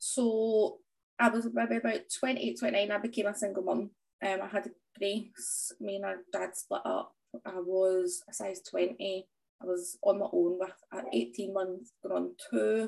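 A woman speaks with a Scottish accent. Her pace is fairly slow. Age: 30s. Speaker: small business owner and fitness transformation story guest. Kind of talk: interview conversation.

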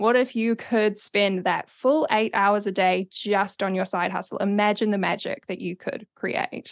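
In a New Zealand accent, a woman speaks at a fairly slow pace and medium pitch with fairly even intonation, the sound dry and close with no echo. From New Zealand, Auckland. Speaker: social media strategist. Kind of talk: interview.

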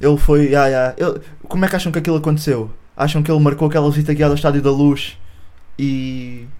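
Speaking very fast in a European Portuguese accent, a man with a fairly high voice keeps a fairly even intonation amid audible room echo and noticeable background noise. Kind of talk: casual chat.

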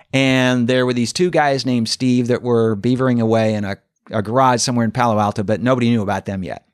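Speaking at a very fast pace, a man with an American accent has a medium pitch and fairly even intonation. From Oregon, US West. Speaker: history professor and author. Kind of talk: interview. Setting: in person.

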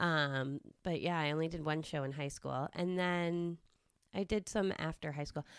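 A woman with a Massachusetts accent speaks at a moderate pace, her pitch very deep and low and her intonation fairly even. The recording is very clean, with a silent background. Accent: Massachusetts American. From Westborough, Massachusetts, US. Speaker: guest, quality control professional. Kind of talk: casual chat, interview between friends.

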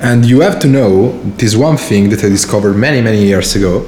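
A man speaks with an Italian accent at a fairly low pitch, using ordinary pitch variation. Audible room echo and noticeable background noise are present. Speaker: podcast host. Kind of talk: casual chat. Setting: studio.

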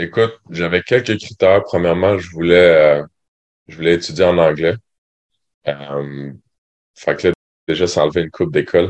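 At a moderate pace, a man with a very deep, low pitch and ordinary pitch variation speaks with big swings in loudness and long, frequent pauses. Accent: Quebec. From Quebec, Sherbrooke. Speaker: university basketball player. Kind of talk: interview. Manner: hesitant, many fillers.

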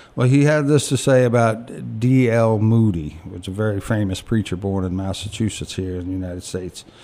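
A man with an American accent talks at a fairly quick pace in a fairly low voice, hardly pausing, while music plays in the background. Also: ordinary pitch variation. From US (Virginia), military family. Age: 50s. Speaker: recovering alcoholic, program graduate. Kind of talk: testimony. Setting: studio.

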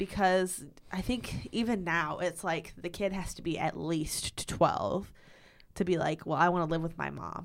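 This woman has a fairly low voice with vocal fry and ordinary pitch variation, talking at a fairly slow pace on a very clean recording with a silent background. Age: 20s. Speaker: podcast co-host. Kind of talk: casual chat. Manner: animated.

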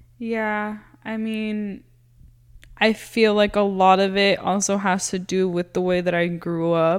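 Speaking at a fairly slow pace, a woman with a Spanish accent uses monotone, flat intonation. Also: medium pitch for a woman. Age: 20s. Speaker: elementary school teacher. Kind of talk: casual chat.

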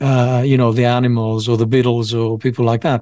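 Speaking with a Greek accent, a man uses a medium pitch at a fairly quick pace. The background is quiet. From Greece, Piraeus. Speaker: rapper and producer. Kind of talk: casual chat.

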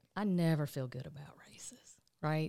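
Recorded very cleanly with a silent background and a dry, close sound with no echo, a woman with a Southern US accent speaks at a moderate pace in a very deep, low pitch with ordinary pitch variation. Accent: Southern US (Georgia). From US South, rural south Georgia. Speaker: state politician and lawyer. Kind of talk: interview.

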